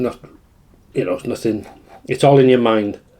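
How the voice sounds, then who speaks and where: With a Welsh accent, a man speaks at a moderate pace in a dark, mellow tone with ordinary pitch variation. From Wales. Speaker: food vlogger. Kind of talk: casual chat.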